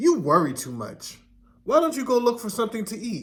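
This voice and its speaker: Speaking in a high, put-on character voice, a man moves at a fairly quick pace. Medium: read story.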